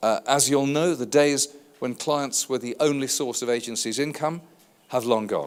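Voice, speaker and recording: A man speaks with a British accent in a fairly high voice. His pace is moderate and his intonation fairly even. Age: 60s. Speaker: advertising industry consultant. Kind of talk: conference keynote speech.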